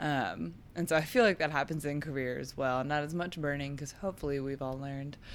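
A woman with an American accent speaks at a very fast pace. Her pitch is very deep and low. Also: ordinary pitch variation. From Texas, Dallas. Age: 20s. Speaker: songwriter. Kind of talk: casual interview chat.

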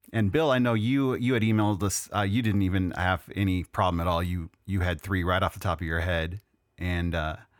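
Delivered at a fairly quick pace, an ordinary speaking voice with an American accent shows ordinary pitch variation in a very clean recording with a silent background. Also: man. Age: 40s. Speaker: podcast host, music writer. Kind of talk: casual chat.

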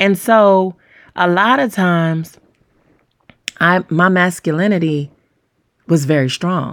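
A woman speaks at a fairly low pitch with ordinary variation. Her pauses are long and frequent. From US South, Georgia. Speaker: talk show host. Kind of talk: relationship advice monologue. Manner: fast talker; animated.

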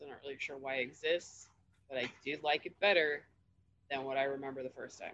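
The speech is quiet and very fast, with big swings in loudness. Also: woman, very deep, low pitch for a woman. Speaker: podcast panelist. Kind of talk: casual chat.

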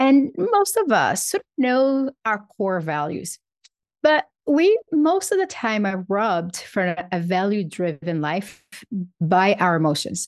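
A woman speaks very slowly in a Portuguese accent. Her pitch sits at a medium level but swings very widely. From Brazil. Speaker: psychologist and author. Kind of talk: interview.

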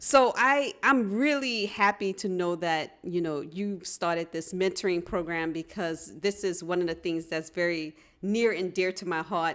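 In a very clean recording with a silent background, a woman speaks at a fairly slow pace, her pitch fairly low, in a plain, everyday voice. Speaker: physics professor and podcast host. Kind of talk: casual panel discussion.

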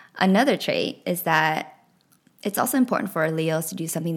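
A woman talks at a fairly quick pace with an American accent. Her fairly low voice carries vocal fry. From US West Coast, Los Angeles South Bay (Lawndale, California). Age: 30s. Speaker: podcast host. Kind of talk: solo podcast monologue. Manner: warm, casual.

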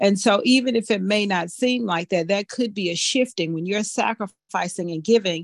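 A woman of medium pitch speaks with a plain, everyday voice at a moderate pace, with hardly any pauses and ordinary pitch variation. The recording is very clean, dry and close, with no echo and a silent background. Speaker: ministry member leading prayer. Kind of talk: prayer and testimony.

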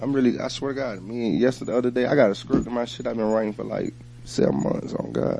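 Against noticeable background noise, a man with an American accent talks at a very fast pace, medium in pitch, with ordinary pitch variation. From Atlanta, US South. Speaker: rapper. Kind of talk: casual interview chat.

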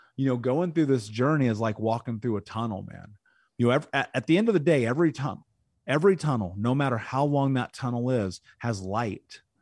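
A man talks at a fairly quick pace in an American accent, with medium pitch and ordinary pitch variation; an ordinary speaking voice. The recording is very clean, with a silent background. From Indianapolis, US Midwest. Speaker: podcast host and speaker on trauma recovery. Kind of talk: angry rant, confrontational tough-love lecture. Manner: intense, blunt, forceful, cursing.

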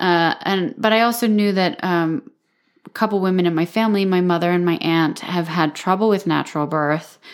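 A woman talks at a moderate pace and medium pitch, in an ordinary speaking voice with ordinary pitch variation. Her loudness stays very even, and the recording is very clean with a silent background. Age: 30s. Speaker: podcast co-host. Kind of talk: casual chat.

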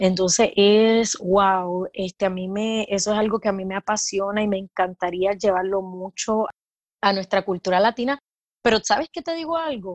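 A woman's normal speaking voice, medium in pitch with ordinary pitch variation, at a moderate pace in a dry, close sound with no echo. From Puerto Rico. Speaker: midwife. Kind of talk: casual interview.

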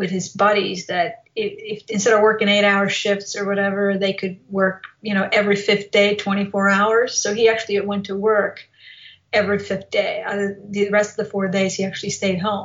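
Spoken in a Bosnian accent, the voice moves at a moderate pace with monotone, flat intonation. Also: woman. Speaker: motivational speaker. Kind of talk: interview.

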